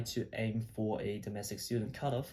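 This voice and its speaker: A man's fairly low, somewhat breathy voice has a dark, mellow tone and fairly even intonation. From China. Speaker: medical student, video blogger. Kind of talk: casual vlog talk. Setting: his old bedroom at home. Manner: casual, with fillers and repeats.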